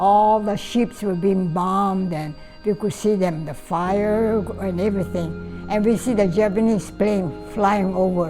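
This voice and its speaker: Over music in the background, a woman speaks at a fairly slow pace with a medium pitch and fairly even intonation. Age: 80s+. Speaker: Pearl Harbor attack witness. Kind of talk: interview answer.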